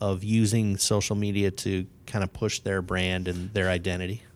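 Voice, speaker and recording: The recording is very clean with a silent background, and a man talks at a moderate pace. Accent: Chicago. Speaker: podcast host. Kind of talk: casual interview.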